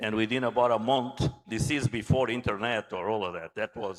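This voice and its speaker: In a Portuguese accent, a man speaks at medium pitch. His pace is moderate and his intonation fairly even. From Angola. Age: 60s. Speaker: naval architect and engineer. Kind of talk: conference talk.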